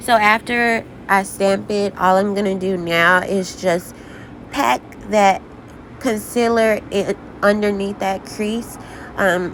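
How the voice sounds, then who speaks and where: A woman's medium-pitched voice at a very slow pace, over noticeable background noise. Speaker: beauty vlogger. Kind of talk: makeup tutorial talk. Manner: casual, chatty.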